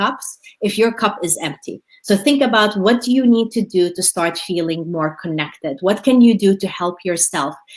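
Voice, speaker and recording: With a Middle Eastern accent, a woman speaks at a moderate pace. Her voice sits at a medium pitch and has lively intonation. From Jordan. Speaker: motivational speaker. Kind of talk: webinar Q&A. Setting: live webinar.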